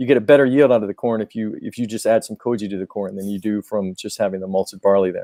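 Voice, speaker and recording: A man with an American accent speaks very fast in a fairly low pitch and a dark, mellow tone. His intonation is fairly even, and the sound is dry and close with no echo. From Georgia, US South. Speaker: Japanese whisky importer representative. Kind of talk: live-stream Q&A explanation. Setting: live stream video call. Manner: halting, many repetitions.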